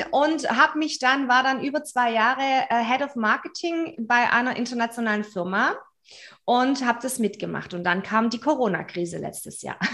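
A woman speaks at a moderate pace in a high, bright, sharp voice. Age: 40s. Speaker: business mentor. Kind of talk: interview.

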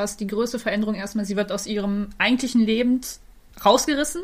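Ordinary in pitch variation and fairly high in pitch, a woman talks in an unremarkable speaking voice. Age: 20s. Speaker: podcast co-host, cosplayer. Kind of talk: casual chat.

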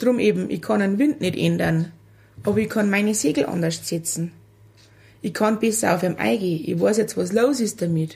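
Speaking at a moderate pace with a Lower Bavarian accent, a woman uses lively intonation and a dark, mellow tone touched with vocal fry. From Lower Bavaria, Germany. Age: 40s. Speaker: mother of a child with a genetic syndrome. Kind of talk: casual interview. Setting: kitchen.

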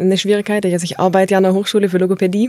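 A woman's voice at a medium pitch. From Tuttlingen district, southwest Germany. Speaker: linguist. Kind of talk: interview, expert explanation.

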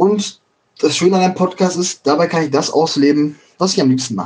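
A man's voice sits high in pitch. He talks at a fairly quick pace. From Ruhr area, Germany (Schwerte, Dortmund, Bochum). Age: 20s. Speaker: podcaster. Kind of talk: casual monologue.

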